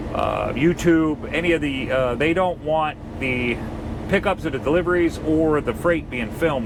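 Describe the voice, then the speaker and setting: A man speaks over noticeable background noise. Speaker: truck driver vlogger. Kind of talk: casual vlog talk.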